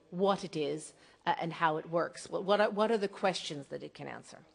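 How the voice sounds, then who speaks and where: A woman with a North American accent talks at a fairly quick pace with lively intonation in an ordinary speaking voice. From North America, across the Atlantic. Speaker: archaeologist. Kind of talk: lecture.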